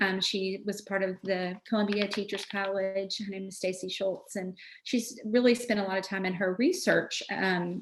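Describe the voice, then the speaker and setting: Fairly even intonation against a quiet background. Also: woman. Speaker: education consultant presenter. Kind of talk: webinar presentation. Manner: fast.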